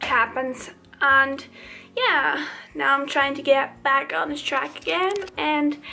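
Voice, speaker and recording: A woman uses a raised, projected voice at a very slow pace, with long, frequent pauses. Her pitch variation is ordinary, and faint music plays in the background. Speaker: travel vlogger. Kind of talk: casual vlog chat. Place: home room. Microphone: phone near.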